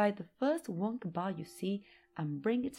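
The reading voice is unforced. Lively intonation runs through it.

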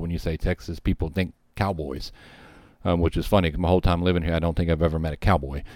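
A man with an American accent, very deep and low in pitch, talking at a very fast pace with fairly even intonation, in a dry, close sound with no echo over a very clean, silent background. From Louisiana, US South. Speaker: podcast host, retired firefighter. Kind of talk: storytelling history podcast. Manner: casual, with frequent fillers.

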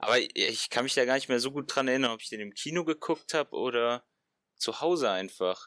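Recorded dry and close with no echo, a man speaks at a fairly quick pace with ordinary pitch variation. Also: medium pitch for a man. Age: 20s. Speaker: fitness science student. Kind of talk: casual chat. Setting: video call.

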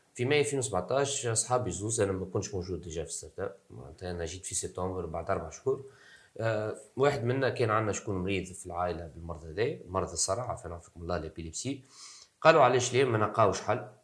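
Lively intonation, a fairly quick pace, a somewhat breathy quality and big swings in loudness. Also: man, fairly low pitch for a man. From Tunisia. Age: 20s. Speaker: startup co-founder. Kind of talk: interview.

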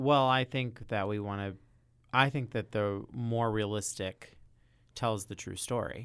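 In a normal speaking voice, a man with an American accent speaks at a medium pitch and a fairly slow pace, his intonation fairly even. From US South, Louisville, Kentucky. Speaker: theater professor. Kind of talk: casual chat.

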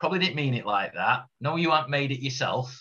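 Here is a man with a Yorkshire accent. His tone is bright and sharp. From Yorkshire, Doncaster. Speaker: former footballer. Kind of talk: casual chat.

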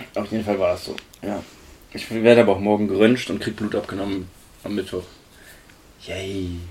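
A man speaks at a moderate pace in a fairly low, monotone, flat voice. His loudness swings widely, and his pauses are long and frequent. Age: 20s. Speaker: podcast co-host. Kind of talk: casual chat.

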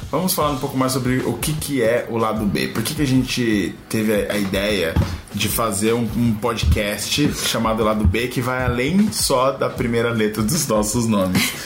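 A man speaks at a moderate pace and medium pitch, with ordinary pitch variation and hardly any pauses. Room echo is audible, along with noticeable background noise. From São Paulo city, West Zone. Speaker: podcast co-host. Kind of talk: casual chat.

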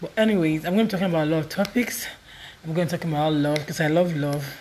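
A woman's very deep, low voice at a very fast pace, with ordinary pitch variation and noticeable background noise. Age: 20s. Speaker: podcaster. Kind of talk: casual monologue.

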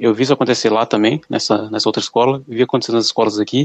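The sound is dry and close with no echo. A man speaks at a very fast pace with fairly even intonation. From small Brazilian town. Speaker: podcast co-host. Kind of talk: casual chat.

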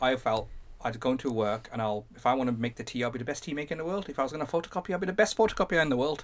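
In a Birmingham accent, a man talks at a very fast pace with lively intonation. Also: medium pitch for a man. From Birmingham, England. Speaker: tech entrepreneur. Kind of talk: interview conversation.

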